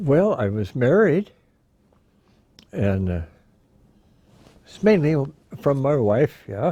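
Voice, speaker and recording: With a Midwestern American accent, a man speaks very slowly at a fairly high pitch, his voice swinging very widely and broken by long, frequent pauses. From Iowa, USA. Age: 90s. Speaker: war veteran. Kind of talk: interview answer.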